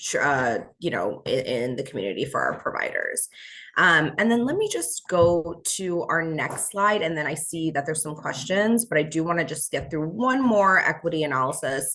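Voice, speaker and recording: With lively intonation, a woman speaks in a fairly low pitch and a bright, sharp tone. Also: moderate pace, quiet background. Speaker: fair housing trainer. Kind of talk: training presentation.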